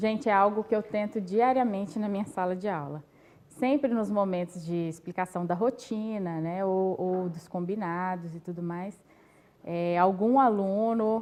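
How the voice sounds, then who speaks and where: A woman's dark, mellow voice in a Minas Gerais accent, fairly slow, with ordinary pitch variation. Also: medium pitch for a woman. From Brazil, Minas Gerais (Caeté). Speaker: teacher. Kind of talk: panel discussion.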